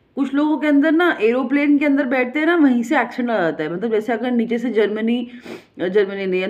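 In an animated tone, a woman speaks with very wide pitch swings over a quiet background. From India. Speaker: vlogger. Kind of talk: casual monologue. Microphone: phone near.

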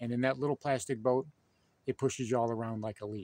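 The man's dark, mellow tone comes through in a dry sound with no echo. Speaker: fishing channel host. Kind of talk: casual vlog chat. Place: waterside. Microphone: phone near.

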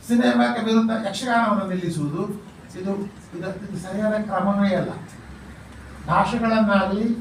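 Heard through audible room echo and noticeable background noise, a man speaks in a high voice with ordinary pitch variation. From coastal Karnataka, Tulu-speaking. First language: Tulu (speaking Kannada). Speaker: retired university vice-chancellor, folklore scholar. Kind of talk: talk to press and students.

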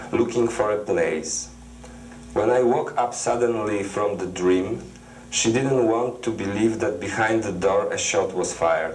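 With a Polish accent, a man speaks at a fairly low pitch and fairly slow pace, showing ordinary pitch variation over light background noise. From Poland. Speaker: poet. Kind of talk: poetry reading. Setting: TV studio. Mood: calm, reflective. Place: studio.

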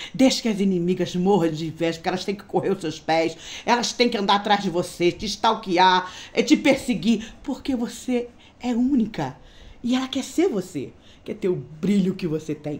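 The delivery is at a moderate pace with lively intonation. An animated tone comes through, somewhat breathy. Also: woman, medium pitch for a woman. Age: 50s. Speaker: beauty vlogger. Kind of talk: casual vlog monologue. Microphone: phone near.

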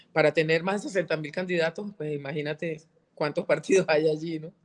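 A woman's fairly low voice at a moderate pace. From Venezuela. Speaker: politician and journalist; politician, journalist. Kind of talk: interview. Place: home room. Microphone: video call.

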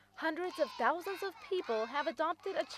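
A woman at a moderate pace, dry and close with no echo, over noticeable background noise. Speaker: news reporter. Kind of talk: scripted narration.

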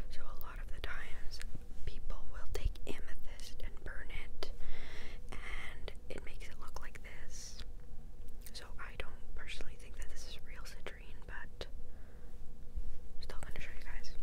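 A woman speaks at a fairly slow pace with long, frequent pauses. Loud background noise runs underneath. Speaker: ASMR creator. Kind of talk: ASMR whispered show-and-tell. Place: home room. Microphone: lapel.

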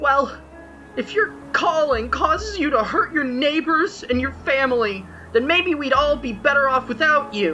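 In a cartoonish character voice, a woman speaks high and bright with a sharp tone, lively intonation, few pauses and a fairly slow pace, while faint music plays in the background.

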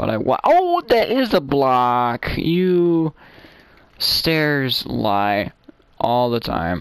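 Very slow speech with long, frequent pauses and very wide pitch swings comes through over noticeable background noise. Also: man, fairly high pitch for a man. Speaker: gaming YouTuber. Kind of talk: gameplay commentary. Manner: animated. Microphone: cheap mic, sounds dated.

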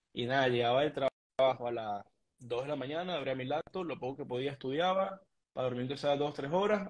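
Over a quiet background, the speech moves at a fairly quick pace with ordinary pitch variation. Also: man. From Venezuela, Mérida; Venezuela. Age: 20s. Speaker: trader, immigrant; interview guest. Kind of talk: interview. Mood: calm, reflective, motivational. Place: home room. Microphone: video call.

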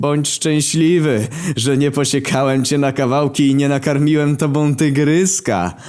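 In a put-on character voice, a man cackles with a menacing tone at a fairly high pitch and a moderate pace. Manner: cackling, menacing.

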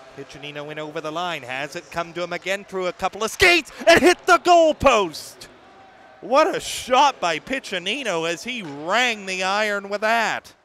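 A man speaks in a raised, projected voice with big swings in loudness and very wide pitch swings. The sound is dry with no echo, over light background noise. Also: moderate pace. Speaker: play-by-play announcer. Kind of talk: sports commentary. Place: stadium. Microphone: headset.

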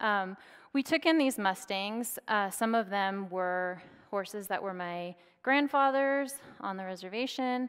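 Against a quiet background, a woman with an American accent talks at a fairly slow pace with lively intonation. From Oklahoma, US. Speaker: academic lecturer. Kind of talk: public lecture. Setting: stage with live audience. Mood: calm, earnest storytelling. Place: stage.

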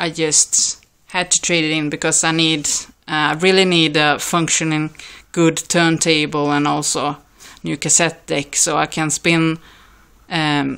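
A woman with a Swedish accent speaks fairly slowly in a very deep, low pitch and a bright, sharp tone, her intonation monotone and flat, on a very clean recording with a silent background. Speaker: record collector vlogger. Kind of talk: casual video vlog. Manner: hesitant, many fillers.

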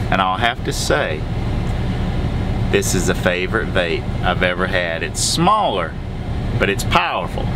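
A man at a moderate pace amid loud background noise. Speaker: truck driver vlogger. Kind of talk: casual vlog chat. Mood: cheerful, excited. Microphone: phone near.

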